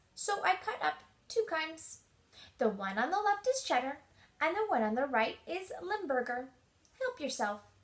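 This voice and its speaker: Putting on a squeaky character voice, a woman speaks high in pitch at a moderate pace with very wide pitch swings and long, frequent pauses. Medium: read story.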